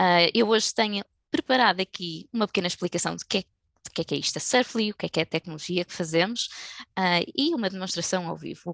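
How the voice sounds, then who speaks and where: A woman with a European Portuguese accent talks at a fairly quick pace and medium pitch, with vocal fry, ordinary pitch variation and big swings in loudness, recorded dry and close with no echo against a quiet background. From Portugal. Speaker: tech company specialist. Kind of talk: webinar presentation. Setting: video call. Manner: hesitant, many fillers.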